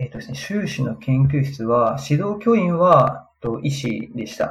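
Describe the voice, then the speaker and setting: A man's normal speaking voice at medium pitch, with lively intonation and a fairly slow pace. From Japan, Aichi Prefecture. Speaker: physical therapist and researcher. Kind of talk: interview.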